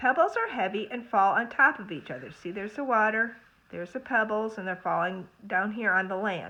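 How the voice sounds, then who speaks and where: A woman's fairly high voice at a fairly quick pace, lively in intonation, with big swings in loudness. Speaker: school librarian or teacher. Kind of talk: reading aloud lesson for children. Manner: fast. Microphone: phone near.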